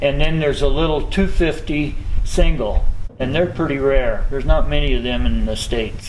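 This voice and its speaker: Speaking at a moderate pace, a man talks in an American accent. Noticeable background noise and audible room echo fill the recording. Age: 70s. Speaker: motorcycle collector and mechanic. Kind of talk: casual interview. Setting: garage.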